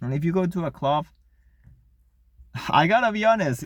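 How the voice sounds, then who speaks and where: A man speaks in a high pitch at a moderate pace. His pitch swings very widely. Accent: non-native. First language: not English. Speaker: RC model hobbyist vlogger. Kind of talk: casual monologue rant. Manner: halting, many repetitions.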